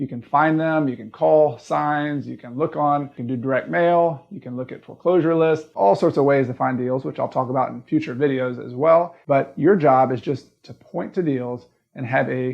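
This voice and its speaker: A man with a Southern US accent speaks with hardly any pauses, ordinary pitch variation and big swings in loudness. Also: fairly high pitch for a man, moderate pace. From US South. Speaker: real estate investing coach. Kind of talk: educational tutorial.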